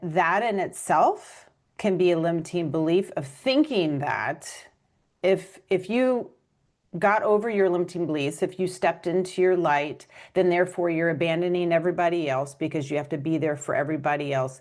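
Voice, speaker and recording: A woman speaks in a normal speaking voice at a moderate pace, her fairly low pitch moving with ordinary variation against a quiet background. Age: 50s. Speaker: author and podcast host. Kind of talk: interview.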